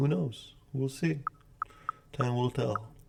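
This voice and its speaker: Very slow speech from a man, medium in pitch, with ordinary pitch variation. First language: Polish. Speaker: day trader streamer. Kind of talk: live trading commentary. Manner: casual, repetitive.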